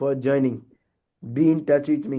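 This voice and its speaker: At a fairly slow pace, a man speaks in a fairly high pitch with a dark, mellow tone. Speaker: religious teacher. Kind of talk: online scripture class. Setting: online session. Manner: soft-spoken.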